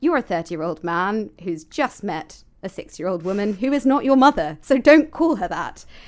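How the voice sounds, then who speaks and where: On a very clean recording with a silent background, a woman of medium pitch speaks fairly slowly with very wide pitch swings. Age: 20s. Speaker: podcast co-host. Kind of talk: casual chat.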